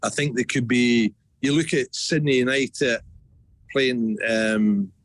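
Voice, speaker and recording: A man with a Scottish accent speaks at a fairly slow pace and very even loudness. The sound is dry and close, with no echo. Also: medium pitch for a man, ordinary pitch variation. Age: 60s. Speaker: football club CEO. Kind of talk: radio interview.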